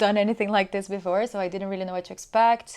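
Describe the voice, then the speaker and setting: A woman with a Portuguese accent and ordinary pitch variation, over a quiet background. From Brazil. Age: 30s. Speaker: podcast guest. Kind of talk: casual interview.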